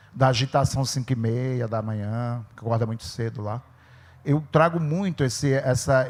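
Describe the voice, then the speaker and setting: This man has an ordinary speaking voice at a medium pitch, with ordinary pitch variation. The recording is very clean, with a silent background. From Brazil, Sertânia, Pernambuco backlands. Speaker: writer. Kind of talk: panel discussion at literary festival. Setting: stage with audience.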